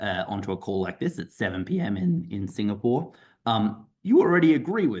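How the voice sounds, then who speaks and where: The voice carries an Australian accent and makes very wide pitch swings. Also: man. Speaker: doctor and professor. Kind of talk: presentation on online info session. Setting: video call. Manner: hesitant, repeating words.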